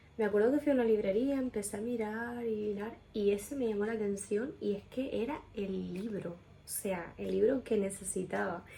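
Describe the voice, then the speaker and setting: Soft-spoken and somewhat breathy, a woman uses a fairly high pitch with ordinary pitch variation. Her tone is dark and mellow. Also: moderate pace, hardly any pauses. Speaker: video blogger. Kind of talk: personal testimony, answering questions. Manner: quiet, speaking softly; casual, filler-heavy.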